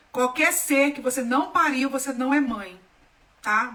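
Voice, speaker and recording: A woman's high-pitched, animated voice at a fairly slow pace over noticeable background noise. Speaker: holistic therapist. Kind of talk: live stream talk.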